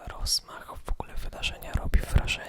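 A man whispers at a moderate pace, with noticeable background noise present. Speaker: ASMR creator. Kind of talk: whispered ASMR vlog, casual talk to camera. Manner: whispered, relaxing.

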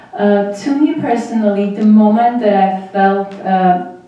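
In a strong room echo, a woman with an Armenian accent speaks at a fairly slow pace, medium pitch and fairly even intonation. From Armenia, Vanadzor. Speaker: graduate student in public policy, former human rights worker. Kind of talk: panel presentation. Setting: auditorium with audience. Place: hall.

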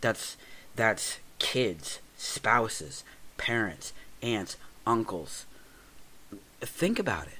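Whispering at a very slow pace, a man leaves long, frequent pauses amid big swings in loudness. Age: 40s. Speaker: podcast host. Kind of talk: casual chat. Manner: halting.

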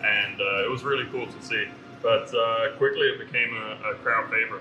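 Music playing behind a man's voice, delivered at a moderate pace. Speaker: brewery host cooking. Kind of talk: tutorial. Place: kitchen.

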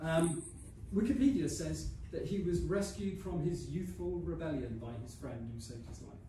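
A man at a moderate pace, big swings in loudness, audible room echo, and light background noise. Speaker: poet performing his own poem. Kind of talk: poem reading, light-hearted comic verse performed live after a chatty introduction. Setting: live stage with audience. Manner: playful, amused, mock-dramatic delivery with laughter; rhythmic, rhymed, refrain-driven. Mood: light-hearted, slightly hesitant. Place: hall. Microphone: camera far.

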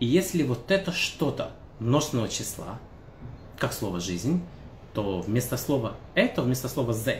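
A man speaks at a moderate pace, somewhat breathy, with audible room echo and light background noise. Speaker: language teacher. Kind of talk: tutorial. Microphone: phone near.

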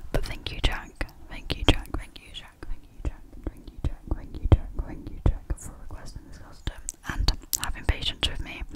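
Soft-spoken whispering, dry with no echo, over loud background noise. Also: moderate pace. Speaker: ASMR creator. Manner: soft close-mic ASMR whisper. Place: home room. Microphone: studio mic.

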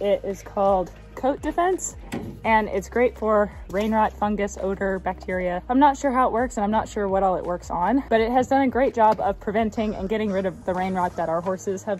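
A woman at a fairly quick pace with ordinary pitch variation, faint music in the background. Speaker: horse rider vlogger. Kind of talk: casual vlog chat. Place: farm machine. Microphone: phone near.

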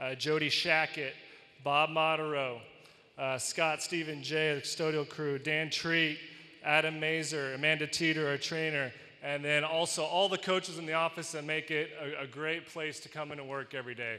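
A man speaks in a monotone, flat intonation at a moderate pace. His tone is bright and sharp. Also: fairly high pitch for a man. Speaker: college volleyball head coach. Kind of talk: acceptance speech. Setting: arena with live audience. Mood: grateful, warm. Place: hall. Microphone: handheld.

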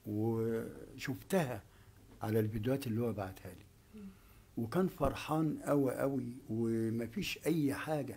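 A man speaks at a very slow pace in a dark, mellow tone with ordinary pitch variation. Light background noise can be heard. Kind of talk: interview answer. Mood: grieving, subdued storytelling. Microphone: handheld.

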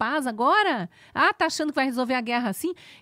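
A woman's high-pitched voice, dry with no echo, against a quiet background. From Brazil. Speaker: news commentator. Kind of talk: angry rant. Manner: indignant, impassioned, accusatory; halting, stumbling over words when agitated. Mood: indignant, earnest. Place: studio. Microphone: studio mic.

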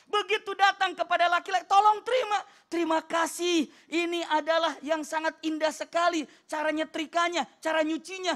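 This is a man's voice. Its pitch is extremely high. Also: quiet background. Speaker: Islamic preacher. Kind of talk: religious TV sermon. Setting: studio. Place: studio. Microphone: handheld.

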